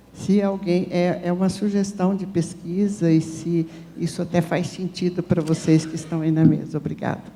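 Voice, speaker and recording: A woman's somewhat breathy voice, fairly low in pitch with a dark, mellow tone, monotone and flat in intonation, at a moderate pace. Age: 70s. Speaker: audience member. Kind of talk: audience question at panel. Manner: halting.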